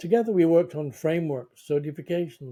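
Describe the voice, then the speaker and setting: In a northern English accent, a man with a dark, mellow tone and fairly high pitch speaks at a moderate pace. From northern England. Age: 70s. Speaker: sustainability consultant. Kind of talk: personal narration.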